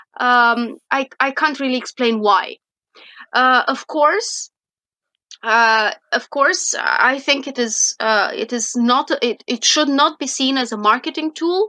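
In a raised, projected voice with a bright, sharp tone, a woman with a Romanian accent speaks very slowly at a high pitch with lively intonation, in a dry, close sound with no echo. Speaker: wine science professor. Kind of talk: interview. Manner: halting, many fillers.

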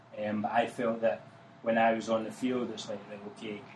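With a Glasgow accent, a man talks at a moderate pace amid noticeable background noise. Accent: Scottish (Glaswegian). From Glasgow, Scotland. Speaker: soccer coach. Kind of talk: casual interview chat.

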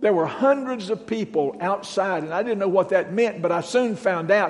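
Over noticeable background noise, a man with a Southern US accent speaks at a moderate pace in a high pitch with ordinary pitch variation. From Western North Carolina. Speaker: guest preacher. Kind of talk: sermon. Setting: church.

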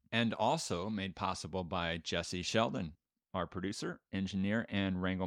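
Against a quiet background, the speaking goes at a moderate speed. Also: man. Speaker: podcast host. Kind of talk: scripted podcast narration.

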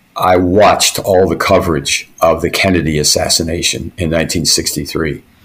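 A man talks at a moderate pace with hardly any pauses. Noticeable background noise is present. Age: 70s. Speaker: retired army officer and historian. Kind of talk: casual interview. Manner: halting, many fillers.

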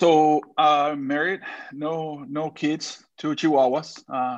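With a Spanish accent, a man speaks at a fairly high pitch with ordinary pitch variation over a quiet background. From Mexico, Monterrey. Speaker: sales executive. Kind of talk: casual interview chat.

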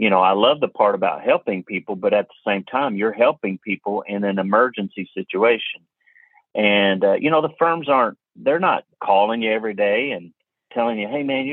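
This man speaks with a Kentucky accent. His pace is moderate. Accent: Kentucky Southern US. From Kentucky (Hopkinsville). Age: 40s. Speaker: auto appraiser and instructor. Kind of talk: interview conversation. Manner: halting, many fillers and repeats.

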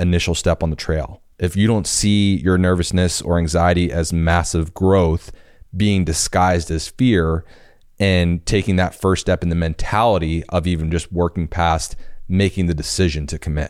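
A man with a very deep, low pitch, fairly even intonation and a moderate pace, on a very clean recording with a silent background. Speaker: creative director. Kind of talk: pep talk. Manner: earnest, emphatic, motivational; direct address to listener, repetitive.

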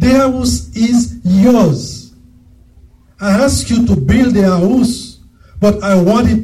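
Speaking at a very slow pace with a strong non-native accent, a man keeps his loudness very even. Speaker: preacher. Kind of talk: sermon. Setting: church.

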